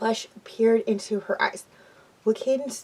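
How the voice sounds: What you hear is a natural reading voice.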